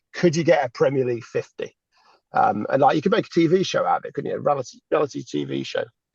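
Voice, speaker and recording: With an English accent, a man talks at a fairly quick pace in dry, close sound with no echo. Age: 40s. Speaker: cricket podcast co-host. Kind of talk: casual chat.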